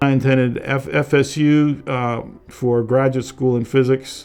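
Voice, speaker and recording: With an American accent, a man speaks at a medium pitch in a dark, mellow tone with monotone, flat intonation. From Massachusetts, Boston. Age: 70s. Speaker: tech consultant. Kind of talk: documentary interview.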